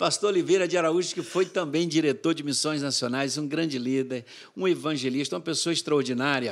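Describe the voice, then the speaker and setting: Against a quiet background, a man talks at a moderate pace with a fairly high pitch. His pitch varies in an ordinary way. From sertão of Bahia, Brazil. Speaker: mission board executive director, pastor; pastor. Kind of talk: interview, storytelling. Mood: animated, warm storytelling. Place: studio. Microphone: studio mic.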